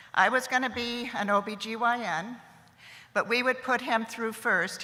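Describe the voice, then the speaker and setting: A woman's voice carries audible room echo. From US, military family moving around. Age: 70s. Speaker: commencement speaker. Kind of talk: commencement speech. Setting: stage with audience.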